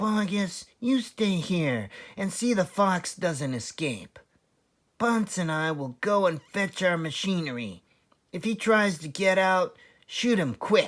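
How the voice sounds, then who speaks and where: A put-on character voice at a middle pitch moves at a fairly slow pace. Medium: read story. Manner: bossy, vengeful.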